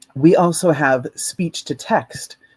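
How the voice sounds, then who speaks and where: A man's unremarkable speaking voice, fairly slow, with ordinary pitch variation and a dry, close sound with no echo. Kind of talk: conference talk.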